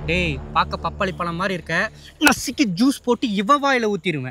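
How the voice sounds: Someone puts on a character voice, bright and sharp in tone, at a fairly quick pace with lively intonation. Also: man, high pitch for a man.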